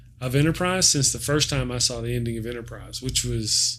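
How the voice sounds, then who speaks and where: A man speaks with a Texan accent. His pace is moderate. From Texas. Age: 40s. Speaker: sci-fi reviewer. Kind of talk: live stream casual chat. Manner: animated; halting.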